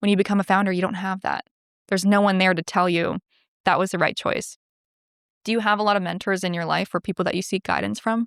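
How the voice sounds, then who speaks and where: Speaking very fast in a flat monotone at medium pitch, a woman with a Canadian accent is heard in a very clean recording with a silent background and a dry, close sound with no echo. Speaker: podcast host. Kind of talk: interview.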